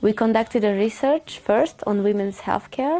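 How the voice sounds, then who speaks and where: A woman with a Hungarian accent at a fairly slow pace, music in the background. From Hungary. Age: 20s. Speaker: volunteer doctor. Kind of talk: interview testimony.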